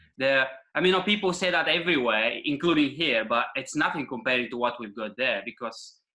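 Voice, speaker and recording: Very fast and with lively intonation, a man talks in a bright, sharp tone. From Bulgaria. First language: Bulgarian. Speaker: men's coach. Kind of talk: podcast interview.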